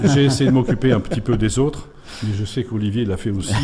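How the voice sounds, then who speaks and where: Somewhat breathy and dark, mellow in tone, a man speaks at a fairly quick pace in a medium pitch with ordinary pitch variation. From France, Auvergne (Puy-de-Dôme). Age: 60s. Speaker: sports official. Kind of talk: radio interview. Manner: hesitant, many fillers.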